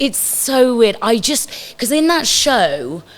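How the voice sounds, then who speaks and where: The voice swings very widely in pitch against noticeable background noise. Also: woman. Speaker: stage and screen actress. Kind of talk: casual chat.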